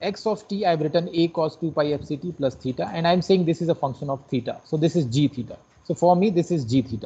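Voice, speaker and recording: Very fast speech in an Indian accent, with hardly any pauses and ordinary pitch variation. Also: man, high pitch for a man. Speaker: lecturer. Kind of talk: lecture.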